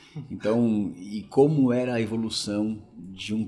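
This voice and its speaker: A man with a dark, mellow tone. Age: 40s. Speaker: logistics executive. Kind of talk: interview. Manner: hesitant, many filler words.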